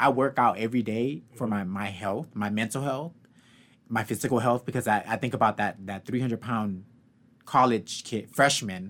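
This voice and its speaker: A man speaks at a medium pitch and a moderate pace, with ordinary pitch variation and big swings in loudness. He has a plain, everyday voice, and the recording is very clean with a silent background. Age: 30s. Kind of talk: casual chat.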